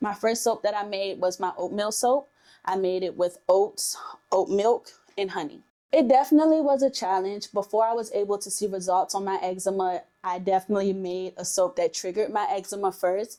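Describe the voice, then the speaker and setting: A woman with an American accent and a dark, mellow tone talks at a fairly quick pace, her medium pitch showing ordinary variation. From Washington, D.C., US. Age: 20s. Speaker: skincare entrepreneur. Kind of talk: interview testimony.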